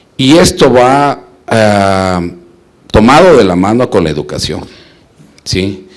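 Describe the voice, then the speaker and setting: A man speaks with a fairly low pitch. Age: 60s. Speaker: parent in audience asking a question. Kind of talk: audience question at a talk.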